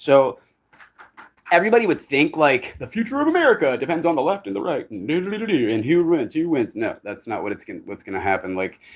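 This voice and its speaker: With vocal fry, this voice races at a very fast pace, its pitch swinging very widely and its loudness rising and falling by big amounts. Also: man, fairly high pitch for a man. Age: 40s. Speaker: live streamer. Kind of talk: casual chat. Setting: outdoors.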